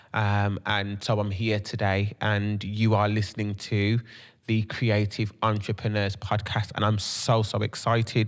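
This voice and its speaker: Spoken at a moderate pace in a strong Brummie accent, the voice stays flat and monotone on a very clean recording with a silent background. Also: man. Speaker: podcast host and creative entrepreneur. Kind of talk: podcast monologue. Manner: many filler ums.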